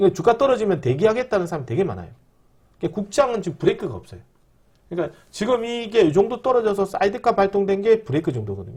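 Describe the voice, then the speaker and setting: A man's high-pitched voice races along very fast with lively intonation. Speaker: stock market YouTuber. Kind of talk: stock market commentary.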